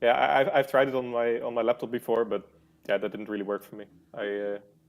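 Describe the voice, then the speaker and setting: Very fast speech in a Dutch accent, with fairly even intonation and big swings in loudness. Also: man, medium pitch for a man. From Netherlands. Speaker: game player, interview guest. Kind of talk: interview.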